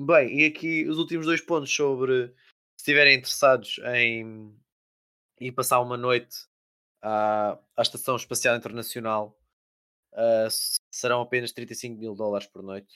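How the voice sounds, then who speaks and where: A man's bright, sharp tone at medium pitch, with ordinary pitch variation, big swings in loudness, a fairly slow pace and long, frequent pauses. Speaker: podcast host. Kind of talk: casual chat.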